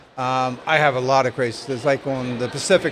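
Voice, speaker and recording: A man talks at a medium pitch, with noticeable noise in the background. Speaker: long-distance hiker. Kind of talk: interview. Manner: fast; halting.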